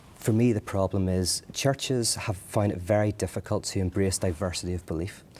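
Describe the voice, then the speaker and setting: A man with an Irish accent talks at a fairly quick pace in a very deep, low, dark and mellow voice with fairly even intonation. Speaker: interview guest, leader of a faith gathering.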